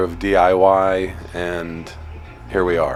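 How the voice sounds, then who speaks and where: Music behind a man's very deep, low voice. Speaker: band member. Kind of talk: casual chat. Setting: music venue during sound check. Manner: loud.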